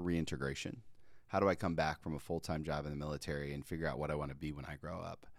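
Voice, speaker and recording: A man with a very deep, low pitch talks at a very fast pace on a very clean recording with a silent background. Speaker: pastor and army veteran. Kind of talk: testimony.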